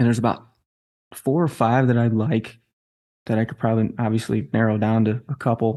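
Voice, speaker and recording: A man with a dark, mellow, medium-pitched voice talks at a fairly quick pace with fairly even intonation and long, frequent pauses against a quiet background. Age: 40s. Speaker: entrepreneur, martial artist and author. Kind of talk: casual interview.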